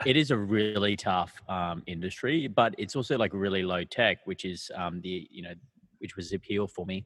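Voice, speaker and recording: A man with an Australian accent, a fairly low pitch, ordinary pitch variation and big swings in loudness. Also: moderate pace, dry, close sound with no echo. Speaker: startup founder and CEO. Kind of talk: podcast interview. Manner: halting, many fillers.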